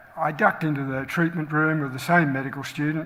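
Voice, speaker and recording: Over noticeable background noise, a man with an Australian accent talks at a very fast pace, his fairly high pitch showing ordinary variation. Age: 70s. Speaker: general practitioner and medical educator. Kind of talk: talk to colleagues.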